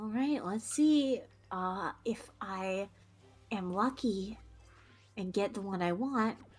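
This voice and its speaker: Music plays behind a woman of medium pitch who talks at a very slow pace with long, frequent pauses. Her pitch varies in an ordinary way. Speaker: streamer. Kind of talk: casual chat.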